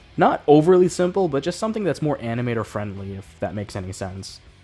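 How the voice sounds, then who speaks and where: Fairly quick speech with music in the background. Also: man. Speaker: animator and YouTuber. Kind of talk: scripted channel update talk to camera.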